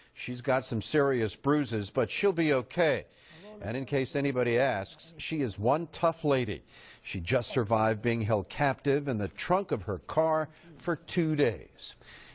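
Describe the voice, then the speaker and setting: A man speaks in a normal speaking voice at a fairly slow pace. His pitch is medium, with lively intonation. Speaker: TV news anchor. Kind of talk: TV news anchor read.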